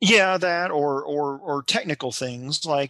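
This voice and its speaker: Recorded dry with no echo against a quiet background, a man with a slight Kentucky accent speaks in a bright, sharp tone. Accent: light Kentucky Southern. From Kentucky, US. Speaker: novelist and librarian; guest. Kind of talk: casual interview chat. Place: home room. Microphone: headset.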